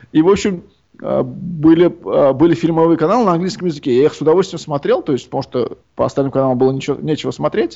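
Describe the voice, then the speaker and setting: A man speaks at a very fast pace with a fairly high pitch. His pitch varies in an ordinary way. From Uzbekistan, Tashkent. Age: young. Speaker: composer. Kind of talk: interview.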